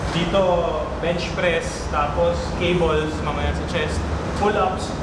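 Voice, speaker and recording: There is loud background noise and audible room echo. A man is speaking. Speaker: fitness vlogger. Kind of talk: casual vlog chat. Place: gym. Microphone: camera far.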